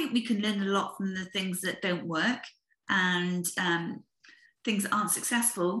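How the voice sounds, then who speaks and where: A woman speaks with a British accent at a moderate pace. Her tone is bright and sharp, her pitch is medium, and its variation is ordinary. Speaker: podcast host, business founder. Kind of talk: interview.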